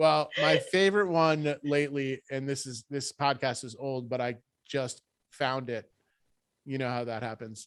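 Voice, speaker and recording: A man with an American accent talks at a fairly slow pace in an unremarkable speaking voice, his pitch medium with ordinary variation. The recording is very clean, with a silent background. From US Northeast, Rhode Island. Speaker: podcast host. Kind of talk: casual interview chat.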